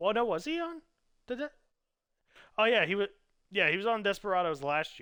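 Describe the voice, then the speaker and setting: With long, frequent pauses, a man delivers a raised, projected voice at a high pitch, a fairly quick pace and very wide pitch swings. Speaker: gaming league commentator. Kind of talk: live stream commentary. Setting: live stream. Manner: casual, halting with frequent fillers.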